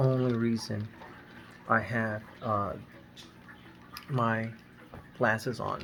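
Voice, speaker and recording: A man with a Spanish accent speaks at medium pitch over noticeable background noise. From Nicaragua, raised in the US. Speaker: family vlogger. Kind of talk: casual vlog. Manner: halting, many fillers.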